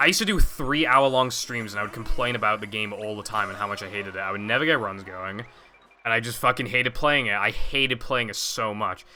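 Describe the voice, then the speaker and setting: A man speaks at a fairly quick pace. Behind him, music can be heard. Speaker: video game streamer and speedrunner. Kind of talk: casual live-stream chat. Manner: sounds annoyed.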